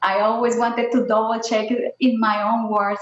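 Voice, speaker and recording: A woman's fairly high voice at a moderate pace, delivered in a flat monotone. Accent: Spanish. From Colombia. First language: Spanish. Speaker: scientist. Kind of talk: panel discussion. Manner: hesitant, many fillers.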